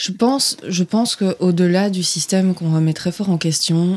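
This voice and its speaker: A woman talks in a fairly low pitch at a moderate pace. Her intonation is fairly even. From southern France, Provence. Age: 20s. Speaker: journalist. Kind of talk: interview.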